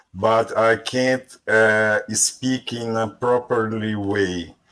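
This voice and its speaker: A man with a strong Brazilian accent talks at a medium pitch in a bright, sharp tone. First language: Portuguese. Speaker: language learner. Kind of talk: casual group conversation. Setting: online voice chat room on a language app. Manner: halting, hesitant.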